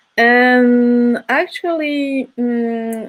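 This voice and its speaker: Speaking at a high pitch, a woman talks with a French accent. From France. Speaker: film curator. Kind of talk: panel discussion. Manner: hesitant.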